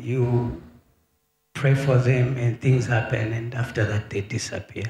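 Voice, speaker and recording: There is faint music in the background and audible room echo. A man speaks at a moderate pace with a medium pitch and fairly even intonation. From Zambia. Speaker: prophet. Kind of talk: testimony. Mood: earnest, troubled. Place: church. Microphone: handheld.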